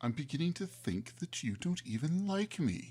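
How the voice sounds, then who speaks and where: A put-on character voice from a man, medium in pitch. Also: moderate pace. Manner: grumpy, complaining.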